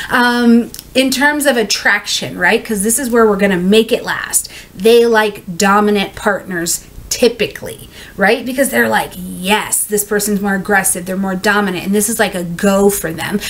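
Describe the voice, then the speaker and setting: A woman's voice at a moderate pace with ordinary pitch variation. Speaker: astrology reader. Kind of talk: casual explainer talk. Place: home room.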